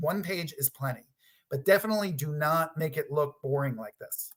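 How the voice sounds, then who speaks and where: Fairly quick and fairly high in pitch, a man speaks in a plain, everyday voice with ordinary pitch variation. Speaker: product designer giving a conference talk. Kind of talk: presentation.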